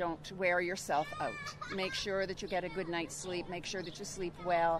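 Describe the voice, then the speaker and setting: Noticeable noise sits behind a woman with a fairly low pitch. Her intonation stays flat and monotone. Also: moderate pace. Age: 70s. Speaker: wellness guest. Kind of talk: interview.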